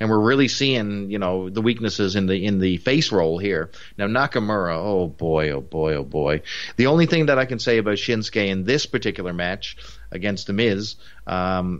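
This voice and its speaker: With a Newfoundland accent, a man speaks at a moderate pace. His fairly low voice has lively intonation. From Newfoundland, Canada. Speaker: wrestling podcast co-host. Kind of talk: casual review chat. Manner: conversational, halting with fillers.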